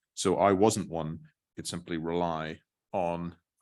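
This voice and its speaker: A man's very deep, low voice stays monotone and flat. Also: quiet background. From Northern Ireland. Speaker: barrister. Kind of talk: talk to students.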